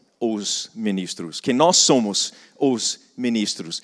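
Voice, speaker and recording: A man talks with a non-native accent, his pitch swinging very widely. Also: very clean recording, silent background. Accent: foreign accent in Portuguese. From foreign, not Brazil. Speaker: business and missions speaker. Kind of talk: conference talk. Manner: repetitive false starts.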